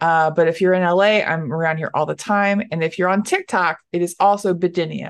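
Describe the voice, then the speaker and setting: In an American accent, a woman talks with monotone, flat intonation against a quiet background. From Dallas, Texas. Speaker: stand-up comedian. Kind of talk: casual interview chat.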